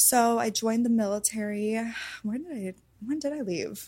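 Somewhat breathy and dark, mellow in tone, a woman speaks fairly slowly at a fairly high pitch. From Hawaii. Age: 20s. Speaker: adult performer and army veteran. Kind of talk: interview.

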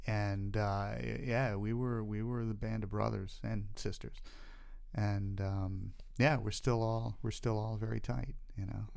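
With an American accent, a man speaks at a fairly slow pace and fairly even intonation, and the room echoes audibly. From US Southeast, North and South Carolina, then Florida. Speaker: camera first assistant. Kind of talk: casual chat.

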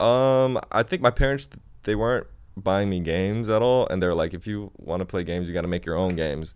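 In an ordinary speaking voice, a man with an American accent talks at a fairly quick pace, his fairly low pitch showing ordinary variation. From China and Japan, then US Midwest. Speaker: music producer and app developer. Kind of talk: casual chat. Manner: casual, slangy, laid-back.

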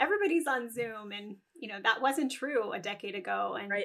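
A fairly high-pitched female voice at a fairly quick pace, with ordinary pitch variation. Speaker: neonatal nurse practitioner and entrepreneur. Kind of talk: casual interview chat. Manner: fast; animated.

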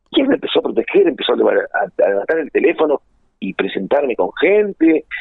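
At a moderate pace, a man talks with a Rioplatense accent. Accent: Argentine Rioplatense Spanish. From Argentina, Buenos Aires province (Junín). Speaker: musician and music producer. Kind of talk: interview. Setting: phone call.

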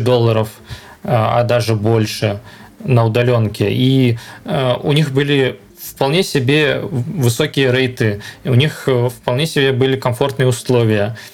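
Amid noticeable background noise, a man of medium pitch speaks at a very slow pace with long, frequent pauses and ordinary pitch variation. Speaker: software architect. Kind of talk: casual interview.

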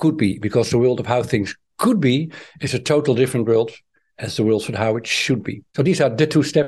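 Over a quiet background, a man with a Dutch accent talks at a fairly quick pace, his medium pitch showing ordinary variation. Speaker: author and trainer. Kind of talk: interview.

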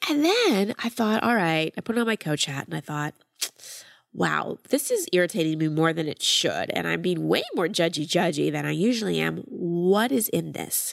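In a very clean recording with a silent background, a woman speaks at a moderate pace. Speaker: life coach and podcast host. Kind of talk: coaching call with ad read and intro.

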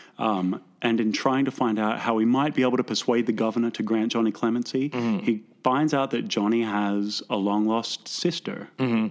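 This is a normal speaking voice from a man at a moderate pace. His loudness stays very even. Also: medium pitch for a man, fairly even intonation. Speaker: actor in musical. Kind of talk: casual interview.

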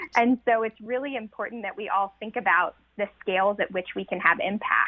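A woman with an American accent talks at a moderate pace in an ordinary speaking voice. Her pitch is fairly high, with ordinary variation. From rural North Carolina. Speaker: nature photographer and social scientist, author. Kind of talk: radio interview.

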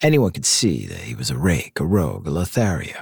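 Theatrical in tone, a man speaks with vocal fry at a moderate pace, in a dry, close sound with no echo on a very clean recording with a silent background. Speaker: podcast host. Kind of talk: dramatic true-crime narration with a promo intro and outro. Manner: punchy, theatrical, wry storytelling; emphatic, sarcastic emphasis.

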